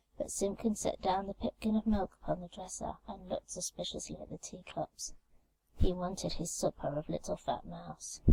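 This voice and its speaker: Soft-spoken and calm in tone, a woman speaks at a fairly slow pace in a dry, close sound with no echo. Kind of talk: soft-spoken bedtime story reading. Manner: soft, calm, relaxing.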